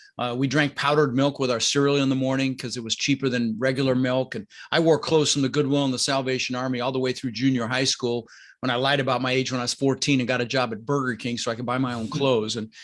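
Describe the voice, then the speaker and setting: At a very fast pace, a medium-pitched man talks in an energetic tone with a General American accent over a quiet background. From Colorado, US. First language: Dutch. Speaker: real estate investor and coach. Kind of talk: podcast interview.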